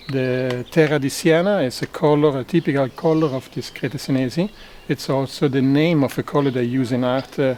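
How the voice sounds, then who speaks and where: A man talks at a moderate pace and a fairly high pitch. Noticeable background noise comes through behind him. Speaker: local cycling tour guide. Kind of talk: casual interview. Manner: halting, with fillers.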